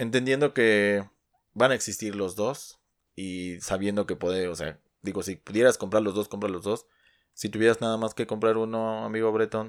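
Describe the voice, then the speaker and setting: A man with a normal speaking voice, fairly even intonation, and a moderate pace, on a very clean recording with a silent background. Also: fairly low pitch for a man. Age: 30s. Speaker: sneaker podcast co-host. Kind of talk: casual chat.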